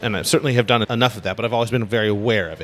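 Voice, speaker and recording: Against noticeable background noise, a man with a fairly low voice speaks with an American accent. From US West Coast (Los Angeles). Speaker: upright bass player. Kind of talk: casual interview. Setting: on location at a jazz festival.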